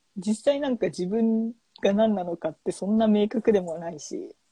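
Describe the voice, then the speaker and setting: Speaking at a fairly slow pace, a woman has a medium pitch and a dark, mellow, somewhat breathy tone with ordinary pitch variation. The sound is dry and close, with no echo. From Japan, Hiroshima. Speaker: podcast co-host, IT worker. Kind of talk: casual chat.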